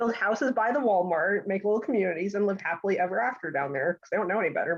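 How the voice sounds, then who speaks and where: A woman's very fast, medium-pitched voice with lively intonation, in a New Jersey accent. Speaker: support group participant. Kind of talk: casual group chat. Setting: video call.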